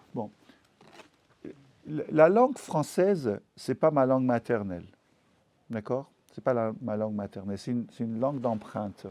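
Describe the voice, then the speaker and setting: Speaking at a fairly slow pace with long, frequent pauses, a man has a dark, mellow tone, lively intonation, and big swings in loudness. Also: medium pitch for a man. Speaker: novelist. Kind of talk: literary talk. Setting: bookshop event with audience. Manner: halting, many repetitions.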